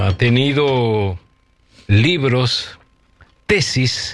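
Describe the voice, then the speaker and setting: A man with a medium pitch speaks very slowly. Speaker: radio host. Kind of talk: radio show introduction.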